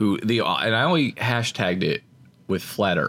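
The very clean recording, with a silent background, captures a man talking at a moderate pace. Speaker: podcast co-host. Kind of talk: casual chat. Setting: studio.

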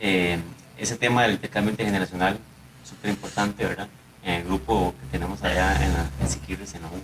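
A plain, everyday voice from a man, fairly quick and with lively intonation. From Costa Rica, Limón (Siquirres). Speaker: musician and university researcher. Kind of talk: radio panel discussion.

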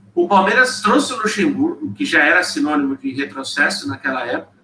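Over noticeable background noise, a man with a high pitch speaks at a moderate pace, his pitch swinging very widely. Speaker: football podcast panelist. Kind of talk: casual chat. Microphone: too quiet at first.

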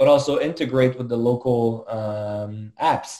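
A man with a French accent speaks at a medium pitch in a dark, mellow tone. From Quebec, Montreal. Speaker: tech startup co-founder. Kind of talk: interview.

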